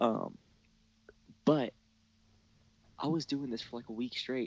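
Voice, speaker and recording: A soft-spoken man talks at a fairly slow pace in a medium pitch. His intonation is fairly even, and the sound is dry and close with no echo. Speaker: cable company technician. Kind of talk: casual chat. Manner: soft-spoken, hushed to avoid waking baby.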